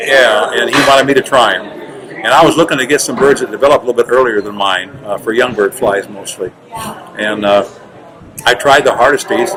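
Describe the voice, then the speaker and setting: Against noticeable background noise, a man at a medium pitch talks at a fairly quick pace with ordinary pitch variation and long, frequent pauses. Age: 60s. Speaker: roller pigeon breeder. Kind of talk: interview. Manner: halting.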